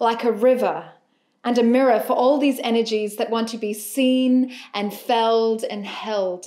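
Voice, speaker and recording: In a quiet background, a woman speaks fairly slowly with a fairly high pitch and monotone, flat intonation. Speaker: poet. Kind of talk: spoken introduction to a poetry set. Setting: music accompaniment. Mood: gentle, warm, soothing. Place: home room.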